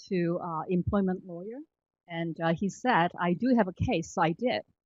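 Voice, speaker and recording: This woman speaks with a Korean accent at a moderate pace, her medium pitch showing ordinary variation. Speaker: government employee. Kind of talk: panel discussion. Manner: halting, many fillers.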